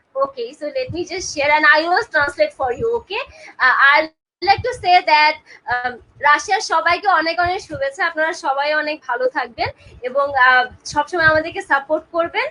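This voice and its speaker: A woman with a Bengali accent projects a raised, high, bright and sharp voice at a moderate pace with lively intonation. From Bangladesh. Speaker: talk show host. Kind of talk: live interview.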